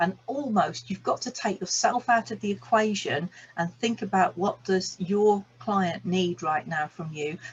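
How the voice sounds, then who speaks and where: A woman speaks at a medium pitch with lively intonation and a somewhat breathy sound. Her pace is fairly slow, yet she takes hardly any pauses. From England, Birmingham. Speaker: business coach and energy healer. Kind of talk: online masterclass talk. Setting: video call recording.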